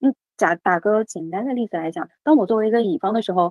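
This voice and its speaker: The pace here is very fast. Pitch variation stays ordinary. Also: woman. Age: 30s. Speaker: HR professional and former headhunter. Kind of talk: casual interview. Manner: frequent hesitation fillers.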